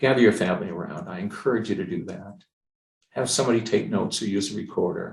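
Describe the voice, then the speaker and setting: A man's very fast, somewhat breathy speech at medium pitch, with lively intonation and big swings in loudness. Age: 70s. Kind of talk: presentation with personal testimony. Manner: halting, with frequent fillers.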